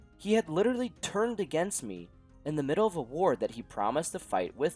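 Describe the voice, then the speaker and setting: With music playing behind him, a man speaks fairly quickly. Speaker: gaming YouTuber. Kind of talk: gameplay narration.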